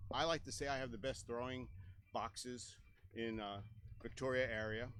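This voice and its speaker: Audible room echo surrounds a man's voice. He talks at a moderate pace with a medium pitch. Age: 60s. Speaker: disc golf course owner and tournament director. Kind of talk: interview.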